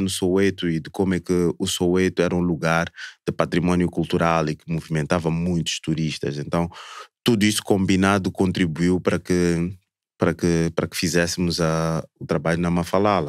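Speech with a Mozambican accent at a moderate pace, dry with no echo, against a quiet background. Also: man. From southern Mozambique (Maputo). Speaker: cultural tourism entrepreneur; podcast guest. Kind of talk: casual chat. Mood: warm, relaxed. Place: studio. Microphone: studio mic.

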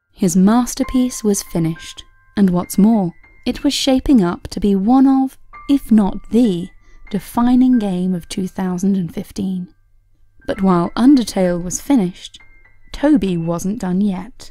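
With music in the background, a woman speaks at medium pitch and a fairly slow pace, her intonation lively. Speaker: video narrator. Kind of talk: documentary story narration.

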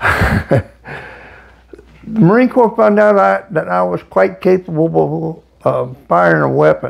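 A man speaks at a very slow pace with very even loudness. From United States. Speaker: Vietnam war veteran. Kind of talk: interview answer. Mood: reflective, somber war memories. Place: home room. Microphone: lapel.

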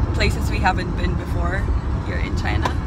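A woman is speaking. Music plays in the background. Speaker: travel vlogger. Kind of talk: casual vlog chat. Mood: cheerful, relaxed. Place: car. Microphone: phone near.

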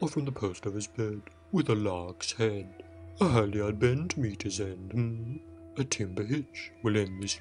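A man puts on a character voice, pitched fairly low. Music plays clearly in the background. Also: moderate pace. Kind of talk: comic overacting. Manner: sing-song rhyming, pompous decrees.

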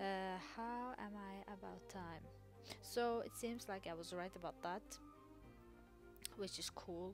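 A woman mumbles. Music plays in the background. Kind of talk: casual gameplay commentary. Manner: mumbling, hesitant.

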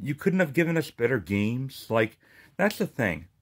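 A man's furious voice with very wide pitch swings against a quiet background. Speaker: gaming YouTuber. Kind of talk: angry rant about a subscription price hike, swearing and fed up. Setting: solo video, speaking to viewers. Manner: furious, sarcastic, emphatic, venting with repeated swearing; stumbling and repeating words as he rants. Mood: annoyed, ranting. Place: home room. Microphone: phone near.

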